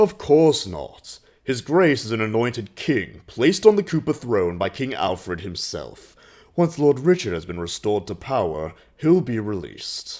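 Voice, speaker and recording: A man performs a put-on character voice with very wide pitch swings and big swings in loudness. The recording is very clean, with a silent background. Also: medium pitch for a man, moderate pace. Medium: audio drama. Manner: smooth, self-assured.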